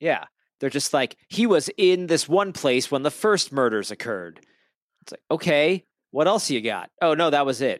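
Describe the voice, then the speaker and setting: A plain, everyday voice with lively intonation and big swings in loudness at a moderate pace, in a dry, close, echo-free, very clean recording with a silent background. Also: man, fairly high pitch for a man. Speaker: podcast co-host. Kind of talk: casual chat.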